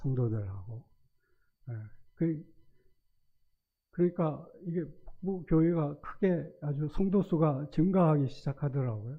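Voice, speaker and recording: Speaking fairly high and at a fairly slow pace, a man uses lively intonation broken by long, frequent pauses. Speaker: retired school principal, church elder. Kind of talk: testimony. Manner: halting.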